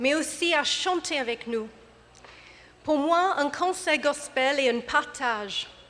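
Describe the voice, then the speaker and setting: Lively intonation in an English accent at a very slow pace. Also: woman. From England. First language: English (speaking French). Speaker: gospel choir director. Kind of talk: concert welcome speech. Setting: church with audience. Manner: hesitant, non-fluent French.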